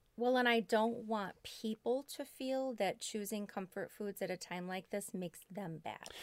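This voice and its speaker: A woman talks at a moderate pace with hardly any pauses, in a normal speaking voice. Her pitch is fairly high, with ordinary variation. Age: 40s. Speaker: obesity specialist and podcast co-host. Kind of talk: casual health podcast chat.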